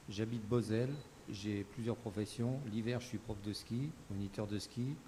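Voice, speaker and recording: A man talks at a fairly low pitch and a fairly slow pace. His intonation stays fairly even. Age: 60s. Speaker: political candidate, ski instructor. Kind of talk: political debate.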